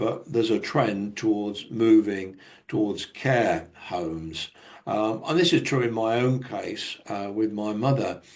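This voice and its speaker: A man speaks with a British accent at a medium pitch. His pace is fairly slow. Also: ordinary pitch variation. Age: 70s. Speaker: conference speaker on technology. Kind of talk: conference presentation.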